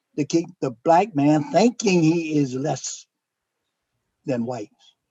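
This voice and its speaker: A man's fairly high voice, dark and mellow in tone, in a dry, close recording with no echo. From Norfolk, Virginia. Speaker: author, retired army officer. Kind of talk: interview answer.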